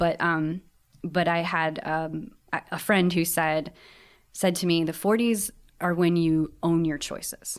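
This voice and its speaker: Speaking in an Upper Midwest accent, a woman keeps a fairly low pitch. Her pace is fairly slow and her intonation fairly even. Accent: Upper Midwest American. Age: 40s. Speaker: guest, bakery worker. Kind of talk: casual chat.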